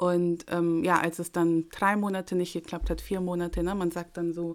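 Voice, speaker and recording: In an unremarkable speaking voice, a woman with a fairly low pitch speaks at a moderate pace on a very clean recording with a silent background. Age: 30s. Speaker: pastor and mother. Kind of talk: testimony.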